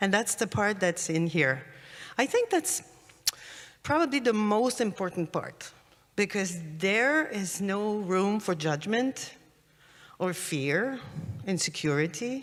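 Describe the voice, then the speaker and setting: Speaking very slowly with long, frequent pauses, a woman with a French accent moves through very wide pitch swings. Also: medium pitch for a woman. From France. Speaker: laughter yoga leader. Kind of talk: conference talk.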